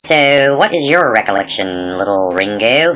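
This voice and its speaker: A man's put-on character voice at medium pitch. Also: moderate pace. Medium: comedy sketch. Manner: upbeat announcer-style.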